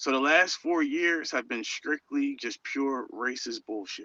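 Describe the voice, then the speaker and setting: The voice has a bright, sharp tone and ordinary pitch variation, moves at a fairly slow pace, and sounds dry and close with no echo. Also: man. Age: 30s. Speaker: caller. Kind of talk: live call-in rant. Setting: phone call from inside a store. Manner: animated.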